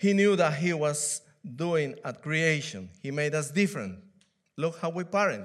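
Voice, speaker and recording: In a Peruvian accent, speech moves at a fairly slow pace in a very clean recording with a silent background. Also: man. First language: Spanish. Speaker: church elder and preacher. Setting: church. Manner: halting, with fillers.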